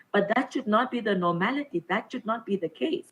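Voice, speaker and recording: Her intonation is lively. The woman's voice is somewhat breathy. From Namibia. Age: 20s. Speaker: government minister. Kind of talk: formal speech.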